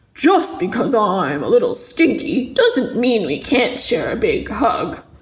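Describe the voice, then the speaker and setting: A woman does a put-on character voice, pitched high and delivered at a fairly slow pace. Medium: read story.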